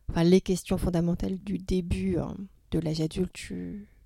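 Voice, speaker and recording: Somewhat breathy, a woman speaks with a dark, mellow tone. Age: 50s. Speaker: poet and clinical psychologist. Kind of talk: casual interview. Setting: theatre venue. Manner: halting.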